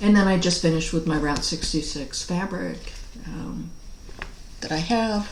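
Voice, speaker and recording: Over noticeable background noise and audible room echo, a woman talks at a moderate pace with a fairly low pitch. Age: 60s. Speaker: cross stitch hobby vlogger. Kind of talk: casual video vlog. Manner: relaxed, with frequent fillers.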